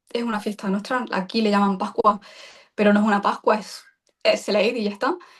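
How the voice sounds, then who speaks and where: A woman's voice at medium pitch comes across somewhat breathy. She speaks at a fairly quick pace. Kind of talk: interview. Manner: halting.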